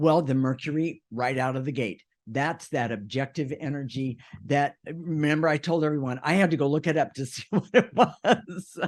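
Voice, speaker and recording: Here is a normal speaking voice at a moderate pace. Its pitch varies in an ordinary way. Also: man, fairly high pitch for a man. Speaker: co-host of a spiritual self-help radio show. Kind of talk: casual conversational discussion. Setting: radio show.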